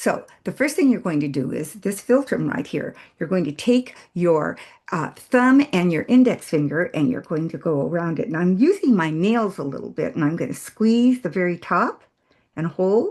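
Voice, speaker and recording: A woman speaks at a fairly low pitch with very wide pitch swings. Her pace is moderate, and the background is quiet. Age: 80s+. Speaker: facial exercise instructor. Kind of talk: tutorial. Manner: casual, with hesitations.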